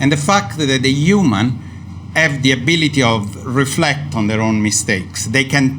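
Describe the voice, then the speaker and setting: A man with an Italian accent speaks at a moderate pace, medium in pitch with ordinary pitch variation. Audible room echo and noticeable background noise fill the recording. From Italy. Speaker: neuroscience professor. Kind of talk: panel debate. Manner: hesitant, many fillers.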